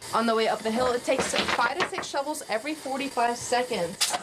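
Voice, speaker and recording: A high-pitched woman speaks fairly quickly with an American accent, her loudness very even. Background noise is noticeable. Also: ordinary pitch variation. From Maryland, USA. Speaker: TV news reporter. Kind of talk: standup and live shot delivery.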